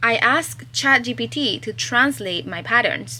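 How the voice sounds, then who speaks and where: In a Spanish accent, a woman speaks at a very slow pace. Her pitch swings very widely. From Chile. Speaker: crochet pattern designer and vlogger. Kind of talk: casual vlog. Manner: animated.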